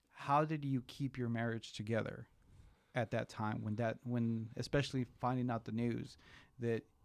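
A man's medium-pitched voice holds a monotone, flat intonation at a moderate pace. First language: Spanish. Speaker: podcast host. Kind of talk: casual interview chat.

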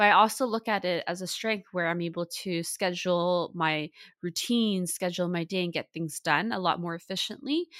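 A woman with a Canadian accent speaks at a moderate pace, her fairly low pitch showing ordinary variation, with hardly any pauses, in an ordinary speaking voice. The recording is very clean with a silent background and a dry, close sound with no echo. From Vancouver, Canada. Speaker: mental health podcast host, therapist. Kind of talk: podcast interview.

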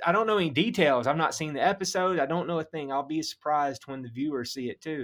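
A man talks in a Southern US accent. His pitch varies in an ordinary way. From Mississippi. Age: 30s. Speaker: pastor and hunter. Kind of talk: casual interview.

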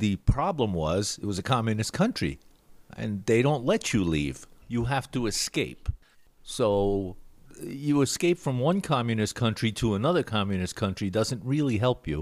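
An American accent marks this man's voice, and his pitch swings very widely. The recording is very clean, with a silent background. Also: medium pitch for a man, moderate pace. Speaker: musician. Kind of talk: casual chat.

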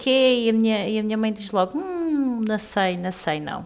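Using an ordinary speaking voice, a woman talks at a moderate pace with a fairly high pitch and lively intonation. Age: 30s. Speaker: podcast co-host. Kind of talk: casual chat.

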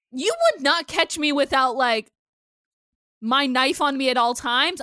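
A woman with a high pitch uses a raised, projected voice and an animated, bright, sharp tone. Her pace is moderate and her pitch variation ordinary, in a dry, close sound with no echo. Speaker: podcast co-host. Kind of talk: casual chat, episode recap podcast. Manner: animated, talkative, interrupts.

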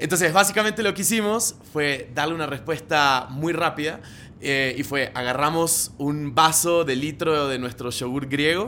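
This man has an Argentine accent and a bright, sharp tone at a fairly high pitch. He speaks at a fairly slow pace with ordinary pitch variation. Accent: Argentine Spanish (voseo). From Argentina. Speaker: marketing director. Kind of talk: casual interview. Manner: animated.

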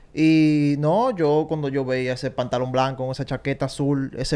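A man speaks at a moderate pace with a fairly high pitch. It is a plain, everyday voice. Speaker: baseball analyst. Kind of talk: casual chat.

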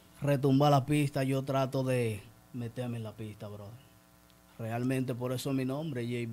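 A man's medium-pitched voice, dark and mellow in tone, at a fairly slow pace. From Dominican Republic, San Pedro de Macorís. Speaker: rapper. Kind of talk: interview.

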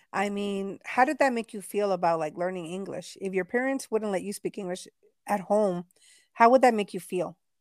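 A woman's normal speaking voice at medium pitch and moderate pace, ordinary pitch variation, dry, close sound with no echo, very clean recording with a silent background. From Texas, Mexican-American family. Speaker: podcast co-host. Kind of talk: casual chat.

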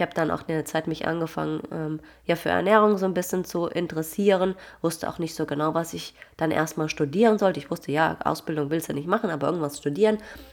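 On a very clean recording with a silent background, a woman with a fairly low pitch and ordinary pitch variation speaks at a very fast pace. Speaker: nutrition consultant and fitness coach. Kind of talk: casual solo podcast monologue. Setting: recording late at night.

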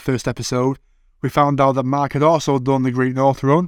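A man speaks at a fairly quick pace with a Manchester accent. His pitch sits fairly high, and the recording is very clean with a silent background. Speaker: podcast host. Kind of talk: podcast interview and narration.

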